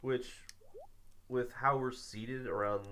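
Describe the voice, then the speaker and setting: Quietly and at a moderate pace, a man with an American accent speaks in a room with audible echo. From US Midwest, Illinois. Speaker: streamer. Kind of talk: casual chat. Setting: live stream, shared mic at a table.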